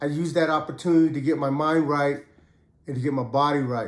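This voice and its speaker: A man in a relaxed tone at a fairly quick pace, with audible room echo. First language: Khmer. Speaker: ex-prisoner telling prison stories. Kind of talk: casual storytelling monologue. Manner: relaxed, conversational.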